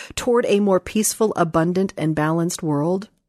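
In a normal speaking voice, a woman talks at a fairly quick pace with ordinary pitch variation, the sound dry and close with no echo. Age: 40s. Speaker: podcast host and life coach. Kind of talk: casual chat and essay reading.

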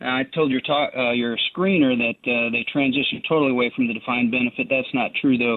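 Very fast delivery with hardly any pauses, very even loudness and fairly even intonation. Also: man, medium pitch for a man. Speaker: caller. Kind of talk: call-in talk radio. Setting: phone call.

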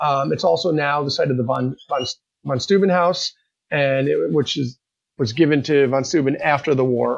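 Here a man has an unremarkable speaking voice, fairly high in pitch. He speaks at a moderate pace with ordinary pitch variation. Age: 40s. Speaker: reenactor and unit historian. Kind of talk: casual interview.

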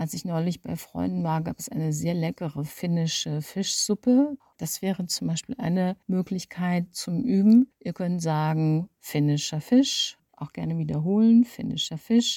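A woman's fairly low, somewhat breathy voice with a dark, mellow tone moves at a fairly slow pace with hardly any pauses and lively intonation, in a dry, close sound with no echo. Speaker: speech coach, former radio presenter. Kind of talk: tutorial.

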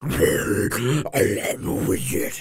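In a raspy put-on character voice of medium pitch, a man speaks with a menacing tone.

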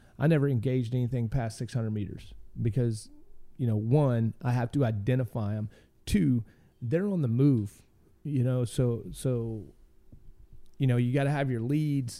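With a Southern US accent, a man speaks at medium pitch and a moderate pace, his dark, mellow tone showing ordinary pitch variation and long, frequent pauses. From Arkansas, US South. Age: 40s. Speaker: military veteran. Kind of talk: casual interview.

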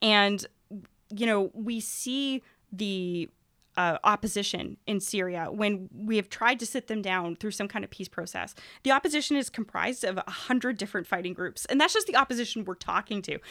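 Ordinary pitch variation and a moderate pace in a normal speaking voice, very clean recording, silent background. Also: woman, medium pitch for a woman. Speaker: university professor. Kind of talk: interview analysis.

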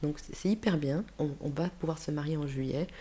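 A woman's very deep, low-pitched voice with a dark, mellow tone. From Switzerland (Geneva), Spanish parents. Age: 50s. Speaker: school principal. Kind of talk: interview. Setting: recorded in Geneva.

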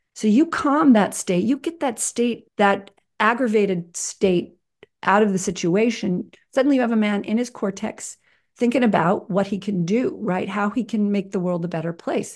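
An unremarkable speaking voice moves at a moderate pace with ordinary pitch variation over a quiet background. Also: woman, medium pitch for a woman. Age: 60s. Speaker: nonprofit founder and filmmaker. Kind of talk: interview.

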